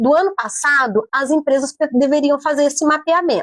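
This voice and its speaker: An animated tone at a moderate pace, dry and close with no echo. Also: woman. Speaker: psychologist and HR consultant. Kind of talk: radio interview.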